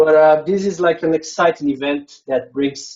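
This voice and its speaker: Here a man with a Brazilian Portuguese accent speaks at a fairly slow pace. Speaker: conference speaker, software developer. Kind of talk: conference presentation. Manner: hesitant, frequent fillers.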